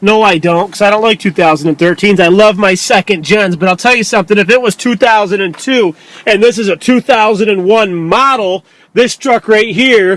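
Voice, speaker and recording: Animated in tone, a man with a New York accent speaks at a high pitch in a dry, close sound with no echo. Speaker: used truck dealer. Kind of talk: sales pitch.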